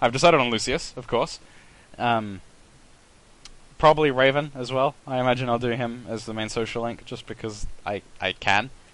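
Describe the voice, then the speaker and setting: Speaking with fairly even intonation at a medium pitch, a man leaves long, frequent pauses. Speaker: let's play gamer. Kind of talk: gameplay commentary. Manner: fast; halting, many repeated words and fillers.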